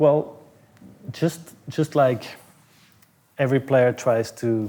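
Fairly slow and fairly even in intonation, a man speaks with a Flemish accent. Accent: Belgian (Flemish) English. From Belgium. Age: 30s. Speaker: tennis coach. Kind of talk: interview. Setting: gym in an apartment building. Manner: halting, with many repetitions.

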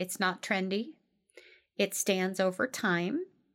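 Speaking at a very slow pace with a slight Midwestern accent, a woman keeps a medium pitch on a very clean recording with a silent background. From US Midwest. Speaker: life coach podcast host. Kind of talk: solo podcast talk from notes. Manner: casual with frequent fillers.

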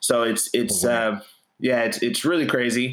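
Pitch varies in an ordinary way across an ordinary speaking voice. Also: man. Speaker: hip hop artist and movement co-founder.

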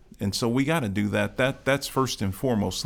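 On a very clean recording with a silent background, a man with an American accent speaks with vocal fry and ordinary pitch variation. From Chicago South Side. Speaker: county commissioner. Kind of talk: interview. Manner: oratorical.

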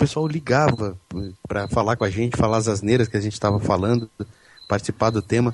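Pitch varies in an ordinary way as the words rush out at a very fast pace. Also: man, medium pitch for a man. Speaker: podcaster. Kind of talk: casual chat. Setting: online group call. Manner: speaks very close to mic, breathy puffs.

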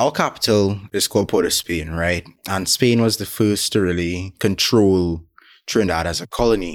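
A man with very deep, low pitch, ordinary pitch variation and a fairly slow pace on a very clean recording with a silent background. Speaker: video essayist. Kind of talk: casual chat.

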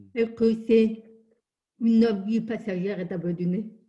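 This woman has a medium pitch, a dark, mellow tone and a somewhat breathy sound, talking very slowly with monotone, flat intonation. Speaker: deaf lawyer and motivational speaker. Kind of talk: interview.

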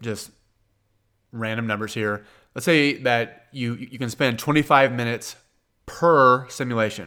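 A man's medium-pitched voice in a Kansas accent, bright and sharp in tone, with fairly even intonation at a fairly slow pace on a very clean recording with a silent background. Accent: Kansas twang, Midwestern American. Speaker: podcast host and accountant answering exam questions. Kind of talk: listener Q&A advice podcast.

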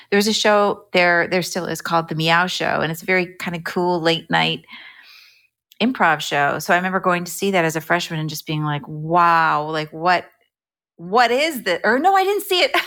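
A woman with an American accent speaks at a moderate pace in a bright, sharp tone, fairly low in pitch with ordinary pitch variation, on a very clean recording with a silent background. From New Jersey, US. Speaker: actress and improv performer. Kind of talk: casual interview.

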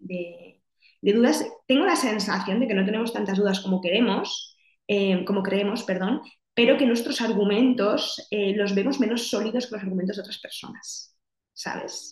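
At a moderate pace, a woman talks at medium pitch in an unremarkable speaking voice with ordinary pitch variation. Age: 30s. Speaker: psychologist. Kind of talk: casual interview.

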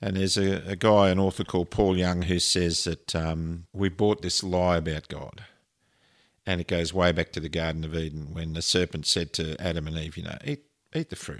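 With an Australian accent, a man with a very deep, low voice talks at a moderate pace on a very clean recording with a silent background. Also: fairly even intonation. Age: 60s. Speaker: podcast co-host, pilot and counsellor. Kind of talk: casual chat.

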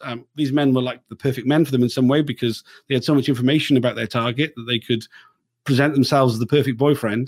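A man's very fast speech with a South Wales accent. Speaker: podcast host and inquiry reporter. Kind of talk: interview. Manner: casual, halting with many fillers.

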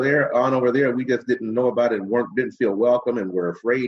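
A man with an American accent speaks at a fairly quick pace in an unremarkable speaking voice, his medium pitch showing ordinary variation. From Cleveland, Ohio (Glenville). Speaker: radio host and comedian. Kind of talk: interview conversation.

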